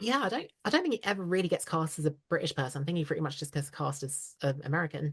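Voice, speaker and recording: A woman with an RP accent, very deep and low in pitch, somewhat breathy, ordinary pitch variation, a very fast pace with hardly any pauses. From southeast England. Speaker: voice actress. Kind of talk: interview chat.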